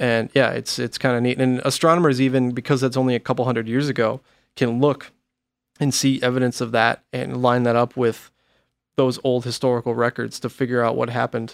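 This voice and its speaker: A man's medium-pitched, monotone, flat voice at a fairly quick pace, in a very clean recording with a silent background and a dry, close sound with no echo. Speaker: metal record label podcast host. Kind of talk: casual chat. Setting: studio.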